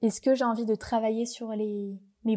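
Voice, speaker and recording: Moving at a moderate speed, the speech carries a dark, mellow tone. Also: woman. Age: 20s. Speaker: yoga teacher and astrologer. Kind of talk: casual chat.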